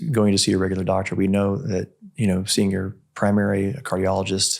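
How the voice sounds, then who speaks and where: At a moderate pace, a man talks with a fairly low pitch and an ordinary speaking voice. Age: 60s. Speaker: longevity medicine practitioner and podcast host. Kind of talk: interview conversation.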